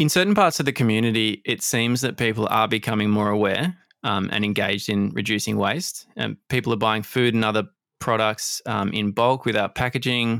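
An ordinary speaking voice from a man, medium in pitch with ordinary pitch variation, at a fairly quick pace. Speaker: podcast host. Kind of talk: interview conversation.

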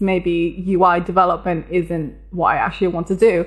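A woman with an English accent talks at a fairly slow pace and a medium pitch. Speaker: software developer. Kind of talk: interview.

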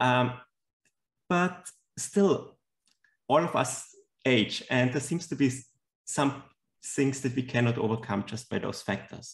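A man speaks at a medium pitch with ordinary pitch variation and a somewhat breathy sound. His pace is fairly slow, with long, frequent pauses. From Austria. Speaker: scientist. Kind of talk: interview. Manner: soft-spoken.

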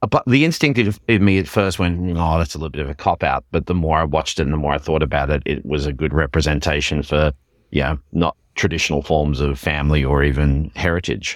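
Talking at a very fast pace, a man uses a very deep, low pitch with vocal fry and ordinary pitch variation. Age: 40s. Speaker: podcast co-host. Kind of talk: casual chat.

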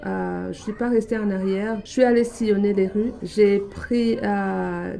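Against noticeable background noise, a woman talks very slowly. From Burundi. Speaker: director of a francophone community centre. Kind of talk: radio interview. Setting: radio studio.

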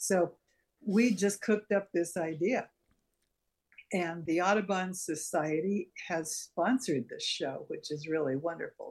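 A woman speaks at a fairly slow pace, her voice somewhat breathy. Her pitch is fairly low, with ordinary variation. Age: 70s. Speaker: gallery board member and artist. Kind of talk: casual interview.

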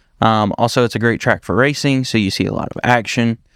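In a very clean recording with a silent background and a dry, close sound with no echo, a man with a slight Southern US accent talks at a moderate pace and medium pitch in a monotone, flat delivery. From Upstate South Carolina (Dacusville). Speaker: podcast co-host. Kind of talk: casual chat.

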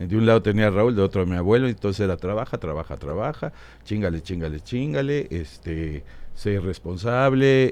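A man with an unremarkable speaking voice, at a moderate pace with lively intonation, over a quiet background. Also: fairly low pitch for a man. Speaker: comedy writer and businessman. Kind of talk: casual interview storytelling. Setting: studio.

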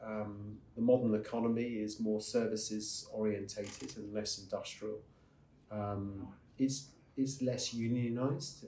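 A man's dark, mellow voice with fairly even intonation and audible room echo. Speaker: investment strategist. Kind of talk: interview answer at a conference.

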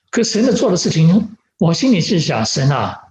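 With audible room echo around him, a man speaks at a moderate pace in a high voice. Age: 70s. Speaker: pastor. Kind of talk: sermon. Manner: halting with fillers.

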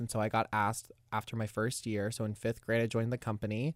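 A man with an American accent speaks in an unremarkable speaking voice. The recording is very clean and dry, close with no echo, over a silent background. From Florida, Tallahassee. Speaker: musical theater student. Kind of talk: casual chat.

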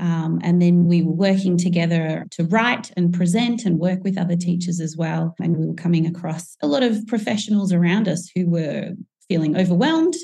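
Dark, mellow, somewhat breathy woman's voice with an Australian accent, fairly low in pitch, moderate in pace, with ordinary pitch variation. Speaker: teacher and author. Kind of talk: interview.

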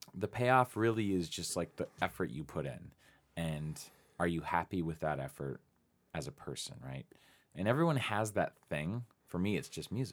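At a moderate pace, a man talks with a very deep, low pitch and very wide pitch swings, recorded very cleanly with a silent background. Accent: General American. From Phoenix, Arizona. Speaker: musician and music writer. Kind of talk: casual interview chat.

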